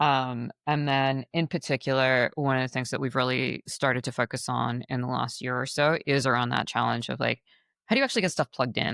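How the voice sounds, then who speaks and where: A woman with a very deep, low pitch and vocal fry speaks at a moderate pace with fairly even intonation, in a dry, close sound with no echo on a very clean recording with a silent background. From rural Queensland, Australia. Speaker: climate tech founder. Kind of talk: interview. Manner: frequent fillers, um and like.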